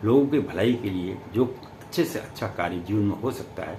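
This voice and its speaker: A man speaks with vocal fry and lively intonation, and the room echo is audible. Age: 70s. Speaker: astrologer. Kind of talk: spiritual talk to camera.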